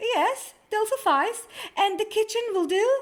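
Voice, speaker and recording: In a put-on character voice, a woman speaks at a fairly slow pace. Her voice is squeaky and extremely high, with ordinary pitch variation. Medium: read story. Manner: prim, affected.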